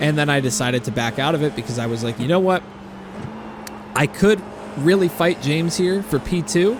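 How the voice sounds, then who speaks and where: Through noticeable background noise, a man talks at a fairly quick pace with lively intonation and long, frequent pauses. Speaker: sim racing YouTuber. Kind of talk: post-race commentary. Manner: relaxed, chill.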